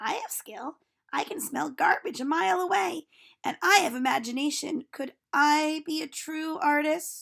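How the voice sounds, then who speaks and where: A woman puts on a raspy character voice at a high pitch. She uses a raised, projected voice at a moderate pace. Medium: read story.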